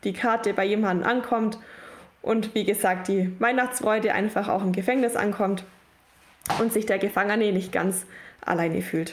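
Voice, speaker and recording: A normal speaking voice moves at a moderate pace. The intonation stays fairly even. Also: woman. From Allgäu, Bavaria, Germany. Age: 20s. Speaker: prison outreach volunteer. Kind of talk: podcast interview.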